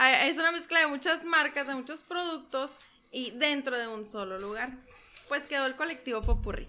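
A woman's raised, projected voice, high in pitch with a bright, sharp tone, ordinary pitch variation, big swings in loudness and a moderate pace. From Mexico, San Luis Río Colorado, Sonora. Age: 20s. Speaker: entrepreneur, shop owner. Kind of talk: casual interview. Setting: ranch, on location.

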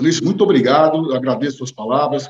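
With ordinary pitch movement, a man talks in a fairly high voice. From Brazil, São Paulo city. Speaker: entrepreneur. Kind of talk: interview. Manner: halting, many fillers.

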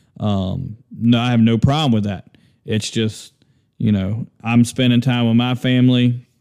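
At a fairly slow pace, a man speaks in an ordinary speaking voice of medium pitch with fairly even intonation. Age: 30s. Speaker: podcast host and hardscape supply store owner. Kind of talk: casual monologue. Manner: casual, with many fillers.

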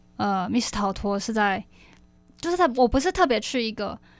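The recording is very clean, with a silent background. A woman with a Taiwanese accent speaks in a fairly high pitch with lively intonation. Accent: Taiwanese Mandarin. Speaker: university student club officer. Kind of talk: casual interview. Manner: animated.

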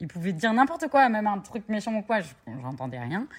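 The recording is very clean, with a silent background. A woman talks at a fairly quick pace, somewhat breathy. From Normandy, France (Cherbourg). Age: 30s. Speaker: entrepreneur. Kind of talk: interview.

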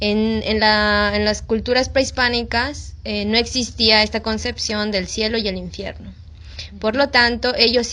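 Her pitch fairly high, a woman speaks at a fairly slow pace. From Mexico. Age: 20s. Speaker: missionary. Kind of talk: casual interview.

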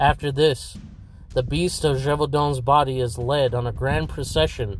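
With music in the background, a man talks at a moderate speed. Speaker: podcast host.

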